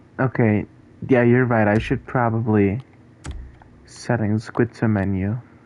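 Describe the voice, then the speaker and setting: Speaking with a non-native accent, a man at medium pitch goes at a fairly slow pace with long, frequent pauses and monotone, flat intonation. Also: very even loudness. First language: not English. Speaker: gaming streamer. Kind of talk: live gameplay stream chat. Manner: casual, hesitant with fillers.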